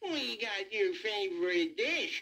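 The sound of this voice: In a drawling put-on character voice, a man speaks slowly with high pitch, a bright, sharp tone and lively intonation, with audible room echo around him.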